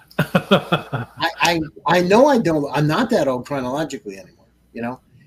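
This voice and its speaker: The pitch swings very widely and the loudness rises and drops a lot. The pace is moderate. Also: man, fairly high pitch for a man. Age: 60s. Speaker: podcast host and venture studio founder. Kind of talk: interview conversation. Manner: animated.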